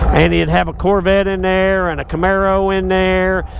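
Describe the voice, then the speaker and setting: Audible room echo mixes with noticeable background noise throughout the recording. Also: man. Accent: Texas. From Texas. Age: 60s. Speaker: motorcycle shop owner. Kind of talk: casual ride-along storytelling. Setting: riding a motorcycle outdoors.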